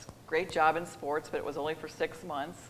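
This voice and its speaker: Talking at a fairly quick pace, a woman with an American accent has a very deep, low pitch. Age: 60s. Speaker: sports executive. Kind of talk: interview. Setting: stage with audience.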